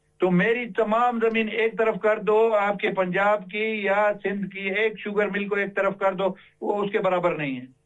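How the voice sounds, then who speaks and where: A man's high-pitched voice with hardly any pauses. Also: fairly even intonation. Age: 60s. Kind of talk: TV interview. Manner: halting.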